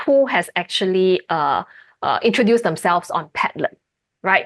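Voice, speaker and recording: A woman with a normal speaking voice and lively intonation, at a moderate pace, in a dry, close sound with no echo and a quiet background. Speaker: university lecturer. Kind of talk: lecture Q&A.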